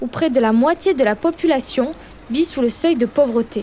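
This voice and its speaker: Amid noticeable background noise, a woman with a southern French accent speaks in a high voice with ordinary pitch variation. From Perpignan, southern France. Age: 20s. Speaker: journalist reporter. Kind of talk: scripted narration with street interviews.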